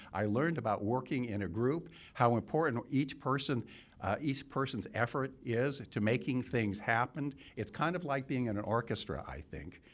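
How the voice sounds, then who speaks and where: In an American accent, a man with vocal fry talks at a moderate pace and medium pitch, varying it in an ordinary way, in a very clean recording with a silent background. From California. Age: 70s. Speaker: political candidate, retired physician. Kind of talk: campaign speech. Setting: event room with audience. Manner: halting.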